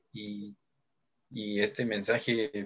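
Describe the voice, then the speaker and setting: A man with a Guatemalan accent speaks at a fairly low pitch. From Guatemala, Chichicastenango, Quiché. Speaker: project founder and live stream host. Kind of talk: live social media stream chat. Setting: live Facebook broadcast.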